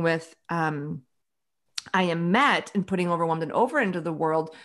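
Over a quiet background, a woman with an American accent and a fairly low voice speaks at a moderate pace with ordinary pitch variation. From US Midwest, Chicago. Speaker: author and women's leadership advisor; podcast guest. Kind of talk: casual interview chat. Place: home room. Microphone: studio mic.

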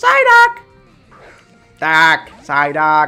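Faint music plays in the background behind a put-on character voice. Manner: cartoonish shouting.

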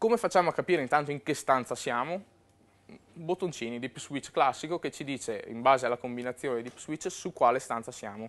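A man talks at a fairly quick pace with lively intonation and a fairly high pitch. His loudness swings widely. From Verona, northern Italy; northern Italy. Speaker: web and mobile programmer, conference speaker; conference speaker. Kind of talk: conference talk. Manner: hesitant, with fillers. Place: hall. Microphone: lapel.

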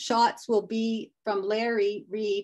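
A very slow delivery in a Canadian accent over a quiet background. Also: woman. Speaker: volunteer stream conservation presenter; presenter. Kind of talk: webinar presentation. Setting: video call. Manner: hesitant, many fillers. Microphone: unstable Wi-Fi connection; video call.

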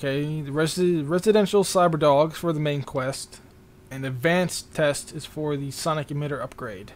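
This man has a normal speaking voice, pitched fairly high, with ordinary pitch variation and a moderate pace. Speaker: gaming YouTuber. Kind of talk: casual gameplay commentary. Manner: casual, rambling, thinking aloud.

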